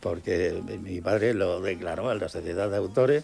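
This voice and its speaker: With music in the background, a man talks at a moderate pace using lively intonation. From Murcia, Spain. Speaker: painter and illustrator. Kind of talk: radio interview answer. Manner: enthusiastic.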